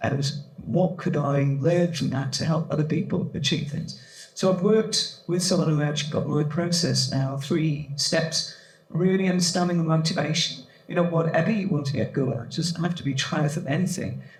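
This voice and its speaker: A man's fairly high voice at a moderate pace, fairly even in intonation, with audible room echo and noticeable background noise. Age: 60s. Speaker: panel expert, triathlete and coach. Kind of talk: panel talk, personal story. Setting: event panel with audience.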